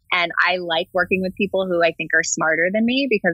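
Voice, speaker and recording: A woman with an American accent, at a medium pitch and moderate pace, with ordinary pitch variation and an ordinary speaking voice. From New Jersey. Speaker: marketing lead. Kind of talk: interview.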